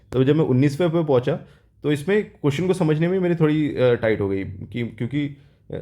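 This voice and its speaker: A man talks at a moderate pace in a dark, mellow tone, with a quiet background behind him. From South India. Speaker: exam aspirant vlogger. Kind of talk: casual vlog, exam experience. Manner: hesitant, with fillers.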